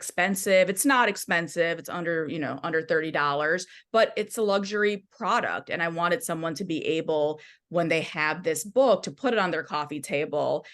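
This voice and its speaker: In a Midwestern accent, a woman speaks at a moderate pace with a fairly low pitch and ordinary pitch variation against a quiet background. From US Midwest, Michigan. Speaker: music journalist and author. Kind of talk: podcast interview.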